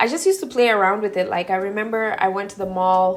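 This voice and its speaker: Music plays in the background while a woman with an American accent speaks at a medium pitch. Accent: slight Kenyan accent noticed by viewers. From Kenya (Nairobi), to US at 11. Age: 20s. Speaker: beauty vlogger. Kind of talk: casual chat, get-ready-with-me Q&A. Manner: chatty, casual.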